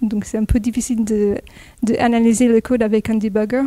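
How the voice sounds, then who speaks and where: Here a woman speaks with an American accent. Her pitch is fairly high and her tone dark and mellow. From California, US (near Los Angeles). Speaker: software developer, conference speaker. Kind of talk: technical talk. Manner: hesitant, many fillers.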